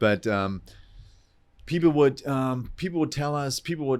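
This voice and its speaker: A man with a German accent speaks at a moderate pace in a very clean recording with a silent background. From southern Germany. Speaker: entrepreneur, real estate investor. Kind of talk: podcast interview. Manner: animated.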